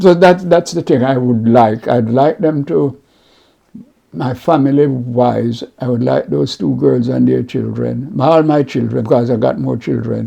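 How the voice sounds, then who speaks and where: Speaking with a strong Jamaican accent, a man talks at a fairly slow pace. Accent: Jamaican, kept strong after sixty years. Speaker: community mentor and mental health advocate. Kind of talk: interview. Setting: at home, recorded on camera. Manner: halting, repetitive.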